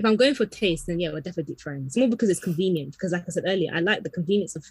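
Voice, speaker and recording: This woman's voice is fairly low-pitched and somewhat breathy. She speaks at a very fast pace with ordinary pitch variation. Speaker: podcast co-host. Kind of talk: casual chat.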